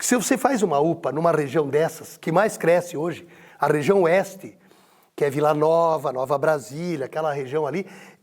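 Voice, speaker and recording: The man's pace is moderate. His fairly high pitch shifts with ordinary variation. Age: 60s. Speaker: mayoral candidate, politician. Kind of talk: interview. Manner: animated.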